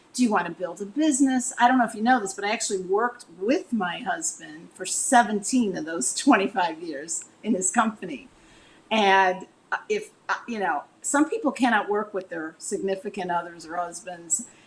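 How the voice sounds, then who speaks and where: A woman in an ordinary speaking voice with an American accent, medium pitch, lively intonation and big swings in loudness. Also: moderate pace. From Chicago, US Midwest. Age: 60s. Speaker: relationship coach. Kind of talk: interview.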